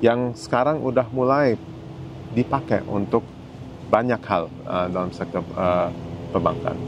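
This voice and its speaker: Over noticeable background noise, a man with a slight non-native accent talks at a fairly slow pace and medium pitch, with ordinary pitch variation and long, frequent pauses. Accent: slightly foreign-sounding Indonesian. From Germany, then Indonesia. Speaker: senior banking executive. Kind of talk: interview. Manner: halting with fillers.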